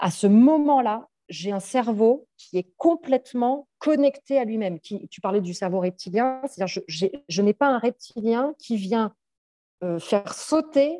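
A woman with a dark, mellow tone speaks at a fairly slow pace and a fairly high pitch, using lively intonation. Her loudness swings widely, in a dry, close sound with no echo. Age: 40s. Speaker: psychologist and coach. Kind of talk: casual interview.

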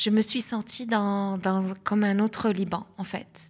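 A somewhat breathy woman speaks very slowly at a medium pitch, in a monotone with flat intonation. The recording is very clean against a silent background. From southern Lebanon. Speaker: communication and marketing specialist, festival founder. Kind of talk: interview.

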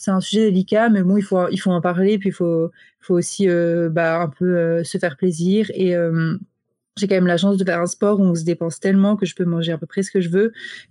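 A woman with a dark, mellow tone speaks at a fairly quick pace in a flat monotone, her voice dry and close with no echo over a quiet background. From France, French Alps (Grenoble). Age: 20s. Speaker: professional biathlete. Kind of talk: interview.

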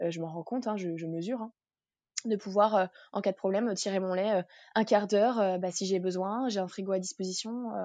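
Against a quiet background, a woman with a dark, mellow tone speaks fairly quickly at medium pitch with fairly even intonation. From France (raised by French family, partly in Martinique). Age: 20s. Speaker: working mother and entrepreneur. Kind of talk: interview conversation.

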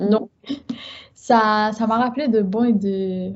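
Somewhat breathy and fairly even in intonation, a woman speaks at a very slow pace. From Guadeloupe, Haitian family. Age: 30s. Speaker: book content creator. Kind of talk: casual interview chat.

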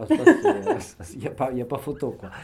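A man speaks against noticeable background noise. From France, Bordeaux. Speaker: mountain guide. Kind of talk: interview. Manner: halting, many fillers.

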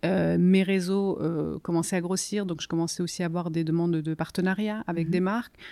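In an Italian accent, the voice moves at a moderate pace with a dark, mellow tone and monotone, flat intonation. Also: woman, fairly low pitch for a woman. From southern Italy (Campania, near Salerno). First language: Italian (speaking French). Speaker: novelist. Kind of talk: interview. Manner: hesitant, many fillers.

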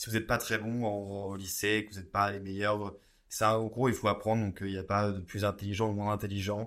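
Fairly quick, monotone speech from a man with a fairly low pitch and flat intonation, on a very clean recording with a silent background. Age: 20s. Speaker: pharmacy student. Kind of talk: casual interview.

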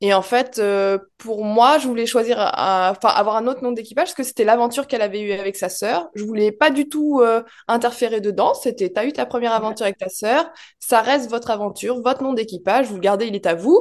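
A woman's normal speaking voice with ordinary pitch variation against a quiet background. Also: fairly high pitch for a woman. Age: 30s. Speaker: ferry steward and rally driver. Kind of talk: interview.

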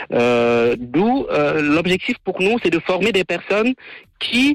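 The sound is dry and close with no echo. A man speaks with lively intonation. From Cameroon. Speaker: electrical engineer and entrepreneur. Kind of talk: radio interview. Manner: halting, many fillers and repetitions.

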